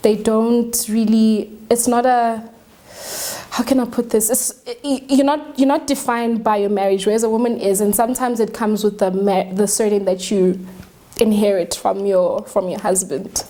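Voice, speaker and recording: Noticeable background noise runs under this recording. A woman speaks at a fairly high pitch. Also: ordinary pitch variation, moderate pace. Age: 20s. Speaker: young married woman, talk show guest. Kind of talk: studio talk show discussion. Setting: studio.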